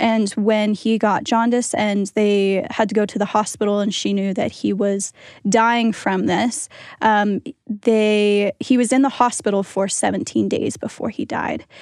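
Using a plain, everyday voice with an American accent, a woman speaks at a fairly slow pace with fairly even intonation. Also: fairly high pitch for a woman, very clean recording, silent background. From Pennsylvania, US. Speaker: student podcast team member. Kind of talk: reflective interview.

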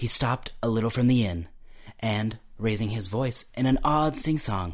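The voice reads in an unforced way.

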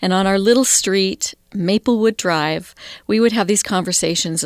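In an ordinary speaking voice, a woman with an American accent talks at a moderate pace with ordinary pitch variation, the sound dry and close with no echo on a very clean recording with a silent background. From Idaho, US. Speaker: college spiritual life director. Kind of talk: interview.

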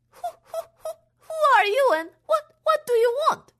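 Shaky, put-on character voice from a woman, with very wide pitch swings at a moderate pace. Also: extremely high pitch for a woman. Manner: trembling, stammering.

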